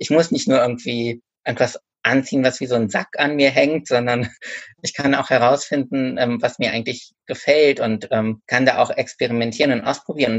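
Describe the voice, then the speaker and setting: A man speaks in a normal speaking voice at a medium pitch, with ordinary pitch variation and a moderate pace. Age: 30s. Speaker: author and bookseller. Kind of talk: casual interview.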